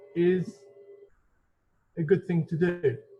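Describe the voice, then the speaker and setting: Music plays in the background as a man speaks very slowly at a high pitch. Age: 20s. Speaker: community podcast host and volunteer. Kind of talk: personal story podcast.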